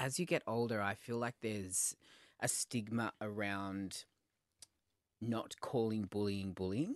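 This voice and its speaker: Speaking with an Australian accent, a man with a fairly low pitch and ordinary pitch variation talks at a fairly slow pace with long, frequent pauses, in a dry, close sound with no echo over a quiet background. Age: 30s. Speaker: podcast host, red carpet reporter and TV host. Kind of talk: casual chat.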